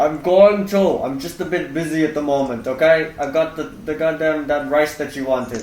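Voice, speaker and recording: A gruff put-on character voice at a moderate pace with hardly any pauses over light background noise. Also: man, fairly high pitch for a man. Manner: busy, irritated.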